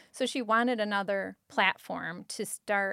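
With a Michigan accent, a woman speaks at a medium pitch in a bright, sharp tone with fairly even intonation, in a very clean recording with a silent background and a dry, close sound with no echo. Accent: Midwestern American (Michigan). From Detroit, Michigan. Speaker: podcast co-host and entrepreneur. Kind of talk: casual interview.

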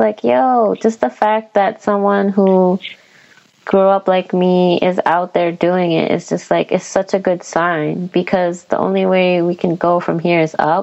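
Here is a woman with an American accent and a normal speaking voice. Her pitch is medium with ordinary variation, and her pace is fairly slow. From US (Filipino American). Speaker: podcast host. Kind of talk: casual chat.

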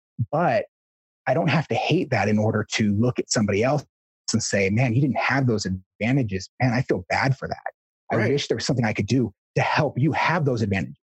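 A man's somewhat breathy, medium-pitched voice with ordinary pitch variation, at a fairly quick pace, in a dry, close sound with no echo. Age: 30s. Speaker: guest sharing personal story. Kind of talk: interview conversation.

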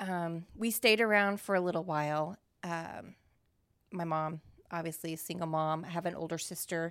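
Recorded very cleanly against a silent background, a woman with an American accent has an unremarkable speaking voice, fairly low in pitch, with fairly even intonation at a moderate pace. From Missouri. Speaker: church member sharing life story. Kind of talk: casual interview testimony.

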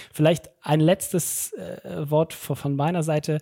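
A man's fairly high voice, dark and mellow in tone, with monotone, flat intonation. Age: 30s. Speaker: head of talent management and learning. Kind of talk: podcast interview. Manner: hesitant, many fillers.

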